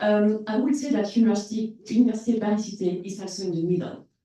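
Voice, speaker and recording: A woman's medium-pitched voice with ordinary pitch variation, in audible room echo. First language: French. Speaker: university staff member. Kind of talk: panel discussion.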